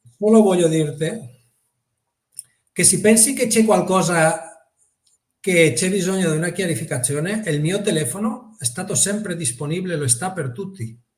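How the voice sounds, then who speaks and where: A man with a Spanish accent, high in pitch, lively intonation, long and frequent pauses, audible room echo. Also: moderate pace. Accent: Spanish accent in Italian. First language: Spanish (speaking Italian). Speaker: motorsport championship director. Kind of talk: interview.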